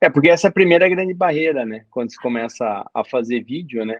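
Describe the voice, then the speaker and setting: A man with a fairly high pitch keeps a moderate pace and ordinary pitch variation. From Brazil, interior of Paraná. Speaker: doctor and exam coach. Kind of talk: casual interview chat.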